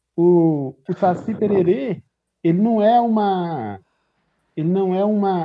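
This man's voice shows ordinary pitch variation. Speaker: podcast co-host. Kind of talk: casual chat.

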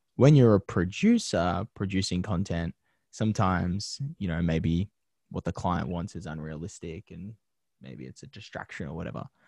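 Vocal fry runs through this Australian accent, delivered at a moderate pace with ordinary pitch variation. Loudness swings widely from moment to moment. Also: man, very deep, low pitch for a man. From Australia, western Sydney (Penrith). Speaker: TV presenter and media producer. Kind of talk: interview. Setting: podcast interview.

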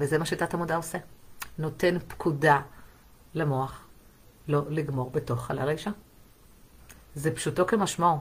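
A woman speaks at a moderate pace in a very deep, low voice, somewhat breathy, with fairly even intonation and long, frequent pauses. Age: 40s. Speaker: sex therapist. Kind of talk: live stream monologue.

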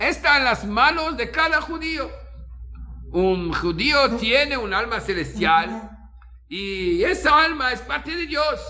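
A man's raised, projected voice at an extremely high pitch, very slow, with very wide pitch swings and audible room echo. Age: 50s. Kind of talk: talk telling stories. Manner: halting.

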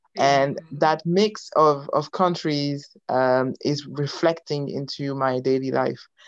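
Speaking at a very slow pace with hardly any pauses, a woman keeps her very deep, low pitch fairly even in intonation. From France (Congolese family, born in Belgium). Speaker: youth pastor and ministry founder. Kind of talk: testimony interview. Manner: halting.

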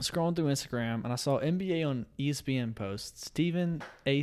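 Moderate pace and ordinary pitch variation from an unremarkable speaking voice, captured in a very clean recording against a silent background. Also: man. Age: 20s. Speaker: podcast co-host and nursing student. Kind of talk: casual chat.

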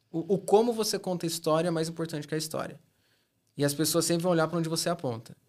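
Over a silent background in a very clean recording, a man speaks very fast at a high pitch with fairly even intonation. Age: 30s. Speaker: e-commerce specialist. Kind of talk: casual interview.

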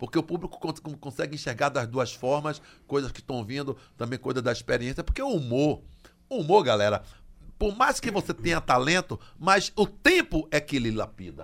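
A man with a plain, everyday voice talks at a moderate pace, his pitch fairly high, on a very clean recording with a silent background. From Brazil, Bahia (Salvador). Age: 60s. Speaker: comedian. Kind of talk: casual chat.

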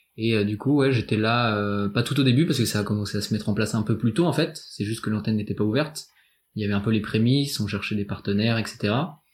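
A man's somewhat breathy voice sits at a fairly low pitch with ordinary pitch variation, in a very clean recording with a silent background. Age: 20s. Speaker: student volunteer listener. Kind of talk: casual interview. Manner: halting.

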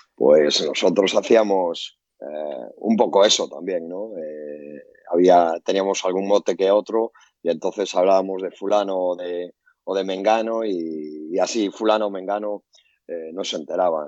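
A man talks in a very deep, low pitch at a fairly slow pace. His intonation stays fairly even. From Galicia, Spain. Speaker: basketball coach. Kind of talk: casual chat.

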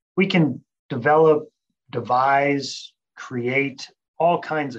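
Someone with an American accent talks in a normal speaking voice with fairly even intonation. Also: man. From Thailand and northern Nevada, US. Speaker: veterinary science professor and researcher. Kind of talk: interview.

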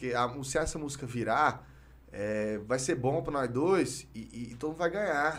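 A man is speaking. Room echo is audible. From Brazil, Goiás (Goiânia and Palmeiras de Goiás). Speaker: rapper. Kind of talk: casual interview chat. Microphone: too far from the mic at times.

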